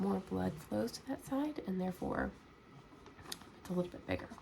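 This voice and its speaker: A soft-spoken woman talks with an American accent. Noticeable background noise is present. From United States. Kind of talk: ASMR soft-spoken Q&A. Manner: soft-spoken, sleepy.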